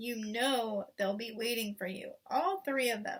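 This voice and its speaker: Using a put-on character voice, a woman goes at a fairly slow pace in a fairly high pitch. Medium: read story.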